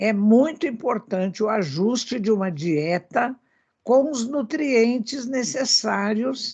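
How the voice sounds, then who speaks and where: Somewhat breathy and fairly high, a woman's voice moves very slowly with lively intonation. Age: 80s. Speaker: spiritist speaker on animal welfare. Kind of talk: radio talk show discussion.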